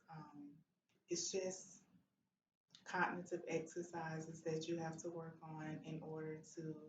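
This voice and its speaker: A woman's somewhat breathy, very deep, low voice, monotone and flat, at a fairly slow pace with audible room echo. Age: 40s. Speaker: stroke survivor and advocate. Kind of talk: testimony.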